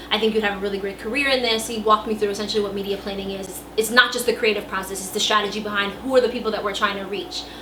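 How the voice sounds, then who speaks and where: A woman with an American accent and a fairly high pitch at a very fast pace, with hardly any pauses, noticeable background noise and audible room echo. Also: fairly even intonation. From New York City. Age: 20s. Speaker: marketing professional. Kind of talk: casting video interview.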